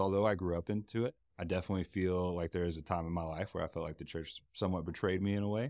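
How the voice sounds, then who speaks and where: Very fast and very deep, a man's low voice moves with ordinary pitch variation. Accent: Texan. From Texas. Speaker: guest, newlywed husband. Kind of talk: casual interview chat.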